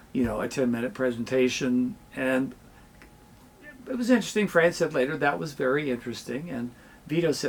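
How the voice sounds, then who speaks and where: A man's medium-pitched voice, a plain, everyday voice, at a fairly quick pace. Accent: American. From Southern Illinois, south of Mount Vernon. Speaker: communication professor and podcast host. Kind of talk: interview conversation.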